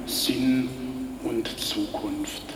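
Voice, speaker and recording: A man speaks while noticeable background noise lies beneath him. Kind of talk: sermon. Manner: earnest, persuasive, steady pulpit delivery; rhythmic, building repetition ('immer mehr, immer schöner').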